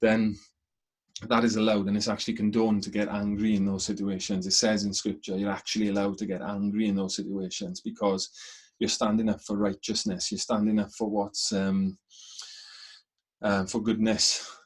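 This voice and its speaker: Speaking at a fairly quick pace, a man holds a monotone, flat intonation. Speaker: spiritual teacher. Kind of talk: webinar talk. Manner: fast.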